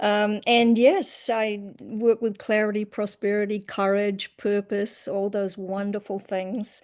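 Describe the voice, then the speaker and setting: A woman with a New Zealand accent at a medium pitch, very slow in pace with hardly any pauses, monotone and flat in intonation, against a quiet background. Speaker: hypnotherapist and coach. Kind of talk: self-introduction on video call.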